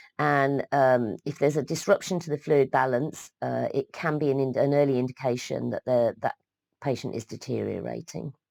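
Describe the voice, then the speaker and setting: With a British accent, the voice moves along at a moderate pace. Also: woman, dry, close sound with no echo, very clean recording, silent background. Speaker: midwifery educator. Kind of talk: lecture. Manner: halting, many fillers.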